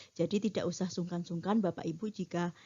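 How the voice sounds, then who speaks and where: A woman speaks at fairly low pitch with a slight Javanese accent. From Bantul, Yogyakarta, Java, Indonesia. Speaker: metrology trainer. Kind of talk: lecture. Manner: frequent filler hesitations.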